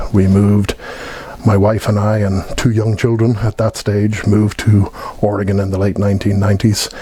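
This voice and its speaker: Speaking at a fairly quick pace with an American accent, a man holds a fairly low pitch in a monotone, flat intonation at very even loudness, with noticeable background noise. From Ireland, Dublin. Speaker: Irish emigrant telling his story. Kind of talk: personal testimony. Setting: heritage event.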